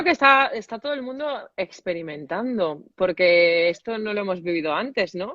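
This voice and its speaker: A woman's medium-pitched voice with very wide pitch swings. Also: moderate pace. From Valencia, Spain. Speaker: soprano singer. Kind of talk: casual live video chat.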